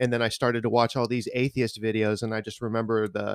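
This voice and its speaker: A man speaks at a moderate pace and medium pitch. His intonation is monotone and flat, the sound dry and close with no echo. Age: 30s. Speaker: worship musician. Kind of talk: testimony.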